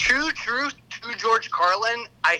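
Over noticeable background noise, a man talks in a raised, projected voice with an energetic tone. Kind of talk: casual chat. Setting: phone call.

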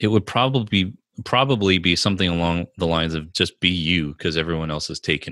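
A man speaks at a moderate pace in a very deep, low pitch with ordinary pitch variation. His tone is bright and sharp, on a very clean recording with a silent background. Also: dry, close sound with no echo. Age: 30s. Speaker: marketing and branding coach. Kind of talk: interview.

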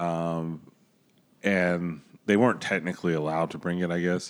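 A man's very deep, low voice in a very clean recording with a silent background. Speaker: beer podcast co-host. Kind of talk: casual chat.

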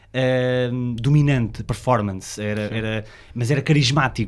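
Here a man speaks with ordinary pitch variation. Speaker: podcast co-host. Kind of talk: casual chat.

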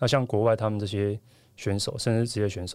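A man with a plain, everyday voice talks at a fairly quick pace and a fairly low pitch on a very clean recording with a silent background. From Taiwan. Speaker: professional volleyball player. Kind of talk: interview.

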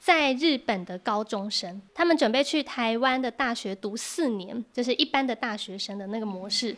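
In a Taiwanese accent, a woman talks at a moderate pace with fairly high pitch and ordinary pitch variation, on a very clean recording with a silent background. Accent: Taiwanese Mandarin. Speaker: Mandarin teacher. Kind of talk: interview.

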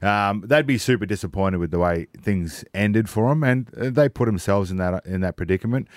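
A man with a fairly low pitch talks at a fairly quick pace with hardly any pauses, in a dry, close sound with no echo. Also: ordinary pitch variation. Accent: Australian. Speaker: former footballer guest. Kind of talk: casual radio chat. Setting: radio studio.

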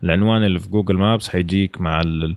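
A man talks at a very fast pace in a very deep, low pitch. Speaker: guest. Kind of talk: casual chat.

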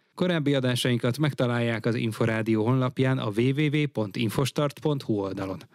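Dry, close sound with no echo frames this recording. An ordinary speaking voice proceeds at a moderate pace, its pitch varying in an ordinary way. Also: man. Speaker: radio sports editor. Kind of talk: news reading.

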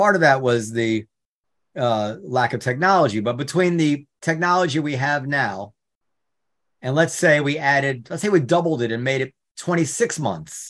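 A man with an unremarkable speaking voice, fairly high pitch, lively intonation and a moderate pace. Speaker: club owner and podcast co-host. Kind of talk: casual chat, podcast discussion.

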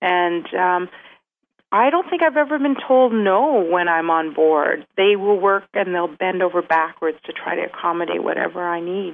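A woman talks in a normal speaking voice at a medium pitch. Her pace is moderate and her intonation lively. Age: 40s. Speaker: cruise reviewer and fan page runner. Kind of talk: interview.

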